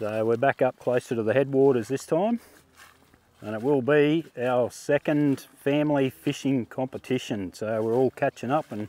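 The voice shows ordinary pitch variation, and the sound is dry with no echo. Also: man. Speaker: travel vlogger. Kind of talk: casual vlog chat. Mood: cheerful, relaxed. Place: open country. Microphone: lapel.

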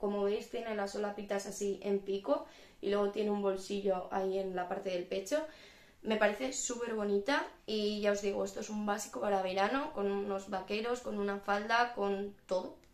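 A woman talks with ordinary pitch variation. Audible room echo surrounds her voice. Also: moderate pace. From Spain. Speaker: YouTuber. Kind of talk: fashion haul video. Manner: animated. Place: home room. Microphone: phone near.

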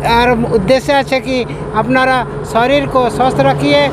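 A man speaks at an extremely high pitch. The sound is dry with no echo, and background noise is noticeable. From Odisha, India. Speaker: retired police officer, long-distance walker. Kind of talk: interview answer. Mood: earnest, appealing. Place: street. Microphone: phone near.

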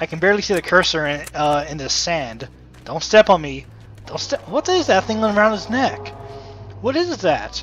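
Over music in the background, a man talks at a moderate pace with big swings in loudness. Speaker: gamer. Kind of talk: casual let's play commentary.

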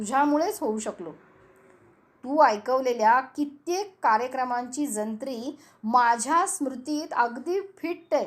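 A woman speaks with lively intonation at a high pitch. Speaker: homemaker and radio enthusiast. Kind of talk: scripted monologue addressed to radio. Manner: expressive.

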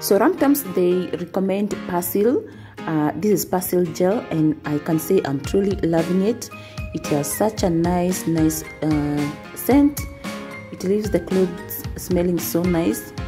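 A woman's fairly low voice at a fairly slow pace, with clear music playing in the background. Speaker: home vlogger. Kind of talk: casual vlog chat. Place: home room.

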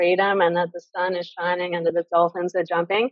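A woman talks fairly quickly in an Australian accent. The background is quiet, and the sound is dry with no echo. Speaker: women's circle founder; interview guest. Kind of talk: interview. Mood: relaxed, cheerful. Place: home room. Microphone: video call.

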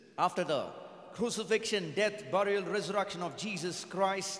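A high-pitched man speaks at a moderate pace, with audible room echo. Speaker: pastor. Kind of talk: sermon. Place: church. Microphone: handheld.

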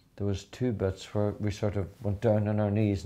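With a Donegal Irish accent, a man speaks in a dark, mellow tone. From Ireland (County Donegal). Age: 50s. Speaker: country singer. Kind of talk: interview answer. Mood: warm, friendly, chatty. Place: home room. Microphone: lapel.

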